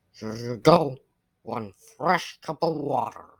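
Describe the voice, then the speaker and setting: Raspy and low-to-middle in pitch, a put-on character voice moves at a fairly slow pace. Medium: cartoon. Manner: warm, casual, reassuring.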